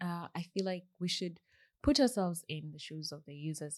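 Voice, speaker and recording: Against a quiet background, a woman with a Kenyan accent speaks at a moderate pace. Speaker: software engineer. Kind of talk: casual interview. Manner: soft-spoken.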